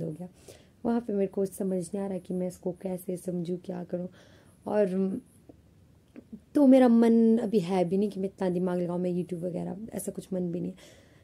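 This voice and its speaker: Medium-pitched female speech in a dark, mellow tone, moderately paced, with ordinary pitch variation. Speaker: vlogger, college student. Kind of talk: casual vlog talk. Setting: alone in her room. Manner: chatty, conversational.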